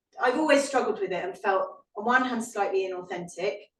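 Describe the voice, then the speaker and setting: A woman speaks in a British accent. Her pitch sits in the medium range. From Britain. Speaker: historian and author. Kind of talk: Q&A answer at a book talk. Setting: live event with audience and online stream. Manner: halting, with repetitions and fillers.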